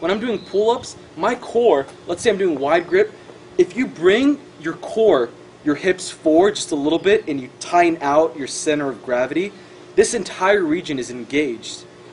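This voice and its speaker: Amid noticeable background noise, a man speaks in a high pitch with lively intonation. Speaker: fitness vlogger. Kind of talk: casual tutorial. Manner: fast; animated.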